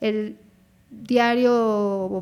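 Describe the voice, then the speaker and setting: This woman's voice has a fairly high pitch. Its tone is dark and mellow. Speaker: dermatologist podcast host. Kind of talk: personal testimony podcast. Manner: less fluent, halting at times.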